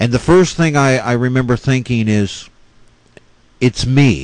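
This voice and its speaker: Medium in pitch, this man's voice shows ordinary pitch variation. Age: 40s. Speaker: ghost story teller. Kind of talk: personal ghost story narration.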